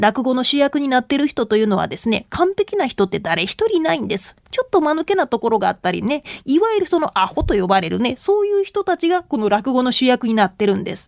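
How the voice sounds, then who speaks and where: Speaking very fast with hardly any pauses, a woman with a Kansai accent uses a high pitch and very wide pitch swings. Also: dry, close sound with no echo. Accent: Kansai Japanese. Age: 30s. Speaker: rakugo storyteller and Buddhist nun. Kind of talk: radio lecture talk.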